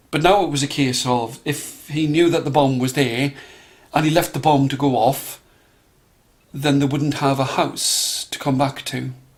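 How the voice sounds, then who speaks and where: The man's voice is fairly high and somewhat breathy. He keeps a moderate pace and fairly even intonation. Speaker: storyteller. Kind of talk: storytelling for children.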